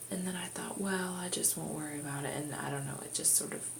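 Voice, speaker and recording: A quiet woman is heard with audible room echo and noticeable background noise. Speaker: vlogger. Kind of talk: casual chat.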